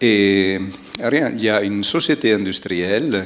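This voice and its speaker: A man speaks with a strong Italian accent. His pitch is fairly low, with ordinary variation. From Aosta Valley, Italy. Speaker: environmental technician. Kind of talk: panel discussion. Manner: hesitant, many fillers.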